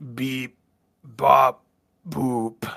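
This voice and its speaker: A man puts on a robotic character voice at a medium pitch. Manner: beeping, mechanical.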